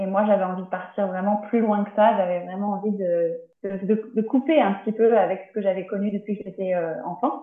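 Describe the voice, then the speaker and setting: A woman of medium pitch keeps fairly even intonation while talking at a moderate pace. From France, Tours. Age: 30s. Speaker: naturopath. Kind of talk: interview. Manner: halting. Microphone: poor sound quality.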